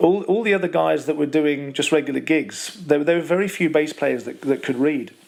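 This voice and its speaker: A man speaks at a moderate pace with fairly high pitch and fairly even intonation. Noticeable background noise can be heard. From West Midlands, Wolverhampton. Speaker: professional bass player. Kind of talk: interview. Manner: halting, many repetitions.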